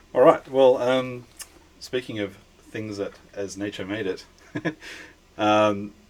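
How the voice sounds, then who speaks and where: A man speaks in an Australian accent with a fairly low pitch. His pace is fairly slow. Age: middle-aged. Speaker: podcast host. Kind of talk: casual chat.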